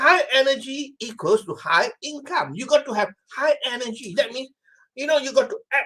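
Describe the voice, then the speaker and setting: Projecting a raised voice at an extremely high pitch, a man speaks at a moderate pace in a bright, sharp tone, with lively intonation and big swings in loudness. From Malaysia. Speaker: motivational speaker. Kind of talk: live-streamed motivational talk. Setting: Facebook Live video. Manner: energetic.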